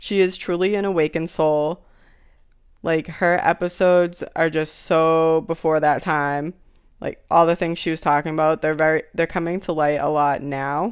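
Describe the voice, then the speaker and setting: In a Boston accent, a woman speaks at a moderate pace with a fairly low pitch and monotone, flat intonation against a quiet background. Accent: Boston-area Massachusetts. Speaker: podcast host.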